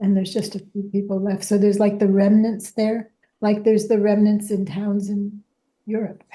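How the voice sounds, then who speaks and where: A woman with an American accent speaks at a moderate pace and medium pitch in a monotone, flat intonation. Her tone is dark and mellow, and somewhat breathy. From upstate New York. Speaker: community participant. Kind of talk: casual group discussion.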